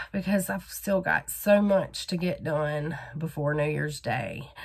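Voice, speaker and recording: Somewhat breathy, a woman with a Southern US accent talks at a very slow pace. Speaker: crochet vlogger. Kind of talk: casual vlog. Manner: casual with many fillers.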